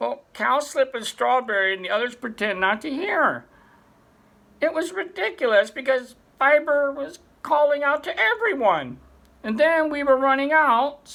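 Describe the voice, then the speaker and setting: The speaker uses a put-on character voice pitched high. The pace is moderate. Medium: read story. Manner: nervous, hesitant.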